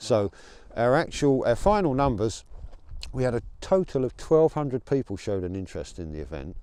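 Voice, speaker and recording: With an English accent, this man talks at a fairly quick pace in a dark, mellow tone, his medium pitch moving in very wide swings. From England. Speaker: rally organizer and truck driver. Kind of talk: interview. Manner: hesitant with fillers and repeats.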